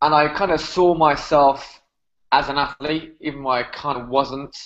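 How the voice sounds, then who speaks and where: This is a man speaking. He has a British accent. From UK. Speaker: fitness trainer. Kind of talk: podcast interview.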